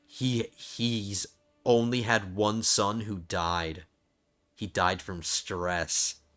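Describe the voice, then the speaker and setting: A man's fairly low voice at a very slow pace, ordinary pitch variation, music in the background. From New Jersey. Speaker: video game streamer. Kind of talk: casual gameplay commentary.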